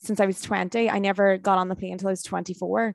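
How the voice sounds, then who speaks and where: Against a quiet background, a woman speaks at a fairly quick pace in a Northern Irish accent. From Ireland, County Tyrone. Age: 20s. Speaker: motivational speaker. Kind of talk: casual chat.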